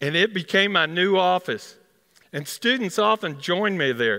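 Speaking with a Texas accent, a man uses a high pitch at a moderate pace. The background is quiet. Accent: Texas twang. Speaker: dentist. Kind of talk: live storytelling performance. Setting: performance hall. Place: stage. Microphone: headset.

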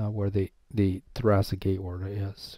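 A man's fairly low, somewhat breathy voice with a dark, mellow tone, on a very clean recording with a silent background. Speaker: professor. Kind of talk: lecture.

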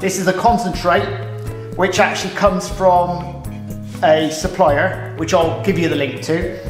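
Over clear background music and audible room echo, a man with a high pitch speaks at a fairly slow pace. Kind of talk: tutorial. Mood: relaxed, friendly. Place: kitchen. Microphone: camera far.

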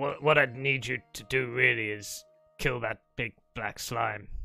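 Faint music plays in the background as a man does a raspy put-on character voice at a medium pitch and a fairly slow pace. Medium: actual play. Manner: put-upon, complaining about his rebellious slimes; chatty, eccentric, casually grandiose.

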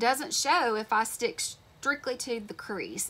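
A woman speaks with a bright, sharp tone and ordinary pitch variation. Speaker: beauty vlogger. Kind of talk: casual makeup tutorial with storytime chat. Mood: chatty, a bit indignant. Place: home room. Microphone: phone near.

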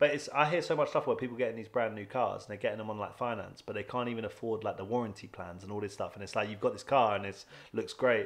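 Talking at a very fast pace, a man's voice shows big swings in loudness. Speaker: podcast co-host. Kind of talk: casual chat. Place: home room. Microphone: studio mic.

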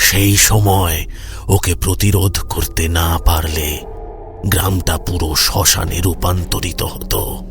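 Over clear background noise, a man does a cartoonish character voice with a very deep, low pitch, speaking at a very slow pace. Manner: calm, measured.

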